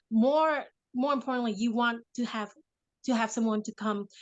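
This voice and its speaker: Against a quiet background, a woman with a Vietnamese accent talks at a moderate pace, her pitch fairly high with ordinary variation. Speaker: mother and affirmation speaker. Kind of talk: casual interview chat.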